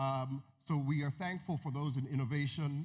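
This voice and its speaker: Somewhat breathy speech in an American accent moves at a moderate pace. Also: man. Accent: American-tinged Nigerian English. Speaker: music industry executive. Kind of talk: conference talk. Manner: halting.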